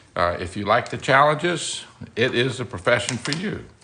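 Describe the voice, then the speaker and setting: A man with a Louisiana accent at medium pitch and moderate pace, pitch swinging very widely over noticeable background noise. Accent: US Southern (Louisiana). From Louisiana, Baton Rouge. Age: 60s. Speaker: architect. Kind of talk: live stream chat. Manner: halting, many fillers.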